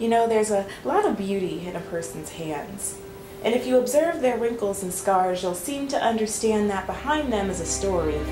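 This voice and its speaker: Music in the background behind a woman's medium-pitched voice, moderate in pace, with lively intonation. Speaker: spoken word poet. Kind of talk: spoken word poetry performance.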